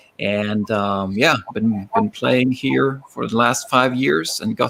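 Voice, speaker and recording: This man has a Norwegian accent and a medium pitch. He speaks at a fairly slow pace with ordinary pitch variation. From Norway. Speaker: rock musician. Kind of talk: casual interview.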